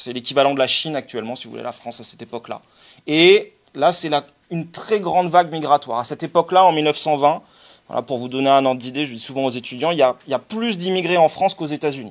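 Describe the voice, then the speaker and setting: A man's fairly high voice at a very fast pace, with ordinary pitch variation and big swings in loudness. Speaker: sociologist giving a talk. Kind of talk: lecture. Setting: conference with audience. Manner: halting, many fillers.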